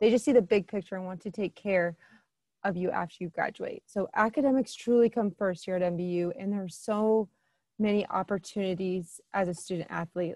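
A woman with a Midwestern US accent speaks at a moderate pace and medium pitch, with a dark, mellow tone and ordinary pitch variation, in a dry sound with no echo and a quiet background. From Southern Illinois; Illinois. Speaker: admissions counselor. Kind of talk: informational presentation. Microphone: webcam.

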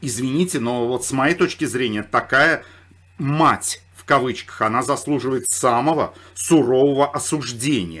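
A normal speaking voice from a man, fairly high-pitched, moderately paced, with ordinary pitch variation. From Saratov, Russia. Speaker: political commentator. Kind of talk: commentary monologue.

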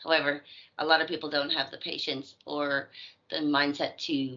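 Against a quiet background, a woman with a very deep, low pitch speaks at a fairly slow pace. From Edmonton, Canada. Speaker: actress and voice actor. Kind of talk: casual interview. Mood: friendly, relaxed. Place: home room. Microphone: video call.

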